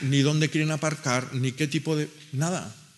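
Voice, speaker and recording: Noticeable background noise sits behind a man's fairly high-pitched voice. His intonation stays fairly even. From Basque Country, Gipuzkoa; Basque Country. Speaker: agronomist and farmer; speaker. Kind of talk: panel discussion talk. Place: meeting room. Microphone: podium.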